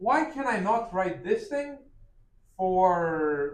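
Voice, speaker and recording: Loud and at a very slow pace, a man speaks with a high pitch and very wide pitch swings. Room echo is audible. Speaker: math lecturer. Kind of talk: lecture.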